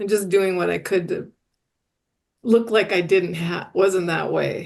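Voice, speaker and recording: At a fairly slow pace, a woman speaks in a monotone, flat intonation at medium pitch with vocal fry. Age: 60s. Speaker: recovery podcast guest. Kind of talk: casual chat. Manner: halting.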